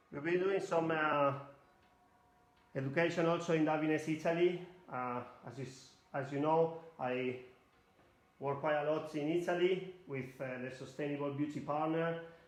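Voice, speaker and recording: A man with a fairly high pitch speaks at a moderate pace with fairly even intonation and long, frequent pauses. Audible room echo and noticeable background noise fill the recording. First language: Spanish. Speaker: hairdresser educator. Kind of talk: live demonstration tutorial. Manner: halting non-native English.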